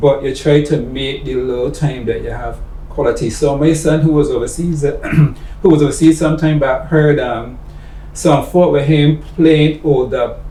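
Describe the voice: Over faint background noise, a man speaks in a dark, mellow tone with fairly even intonation. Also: medium pitch for a man, moderate pace.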